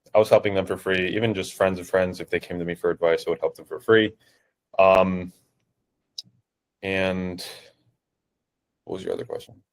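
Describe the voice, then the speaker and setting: A man with a New Jersey accent speaks at a moderate pace, leaving long, frequent pauses. His loudness swings widely, on a very clean recording with a silent background. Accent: New Jersey American English. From New Jersey, US. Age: 20s. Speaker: online fitness coach. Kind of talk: interview. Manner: hesitant, many fillers.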